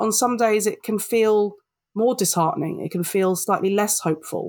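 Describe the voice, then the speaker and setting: On a very clean recording with a silent background, a woman with a London accent speaks at a moderate pace. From London, England. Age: 40s. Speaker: diversity and inclusion consultant. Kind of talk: interview.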